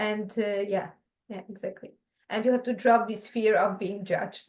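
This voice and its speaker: With a Polish accent, a woman speaks at a fairly high pitch and moderate pace. Her intonation is monotone and flat. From Poland. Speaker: podcast host. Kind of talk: casual chat. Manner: not fully fluent.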